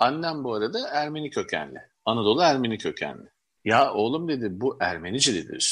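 A man talks fairly quickly against a quiet background. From Istanbul, Turkey (Levantine family). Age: 50s. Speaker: collector and publisher. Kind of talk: interview.

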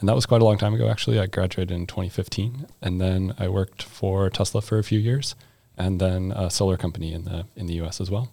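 Talking at a very fast pace with an American accent, a man uses a very deep, low pitch, a dark, mellow tone, a somewhat breathy quality and ordinary pitch variation. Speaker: master's student. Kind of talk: casual chat.

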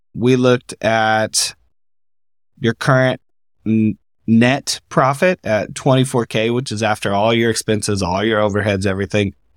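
A man speaks in an ordinary speaking voice at medium pitch and a moderate pace, with ordinary pitch variation. The recording is very clean, with a silent background and a dry, close sound with no echo. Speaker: business coach and podcast host. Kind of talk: interview, coaching conversation. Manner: formal, upbeat.

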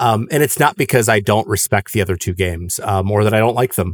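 In a very clean recording with a silent background and a dry, close sound with no echo, a man speaks at a moderate pace with fairly low pitch and ordinary pitch variation. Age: 30s. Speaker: podcast host and English teacher. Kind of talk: casual panel discussion. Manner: hesitant, many fillers.

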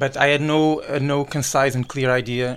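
A man's flat, monotone delivery at a moderate pace. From Portugal. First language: Portuguese. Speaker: doctoral student in engineering. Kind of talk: interview. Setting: studio. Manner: halting.

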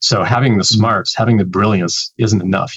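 Talking very fast with a Canadian accent, a man keeps his intonation fairly even. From Canada. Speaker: developer relations professional. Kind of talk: interview.

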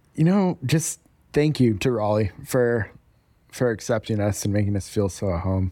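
A dark, mellow tone with an American accent and lively intonation at a moderate pace, in a very clean recording with a silent background. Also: man, fairly low pitch for a man. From Denver, Colorado. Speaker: coffee shop owner. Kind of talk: casual interview.

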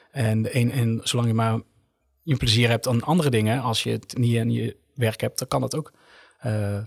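On a very clean recording with a silent background, a man with an ordinary speaking voice talks at a moderate pace and medium pitch with fairly even intonation. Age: 20s. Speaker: nurse. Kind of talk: casual chat.

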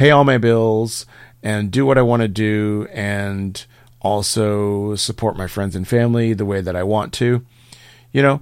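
This is a normal speaking voice from a man, fairly low in pitch with fairly even intonation. The recording is very clean with a silent background. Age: 50s. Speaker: podcast host and comedian. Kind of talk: solo monologue; casual chat.

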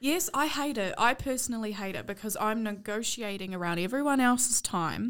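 Speaking at a fairly quick pace with hardly any pauses, a woman uses lively intonation at a fairly high pitch. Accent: New Zealand. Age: 20s. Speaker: podcast co-host. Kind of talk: casual chat.

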